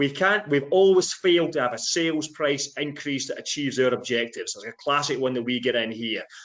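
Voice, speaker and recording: Speaking in a Scottish accent, a man moves at a fairly quick pace with hardly any pauses. His fairly high pitch shows ordinary variation. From Scotland. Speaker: sales trainer. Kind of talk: webinar discussion.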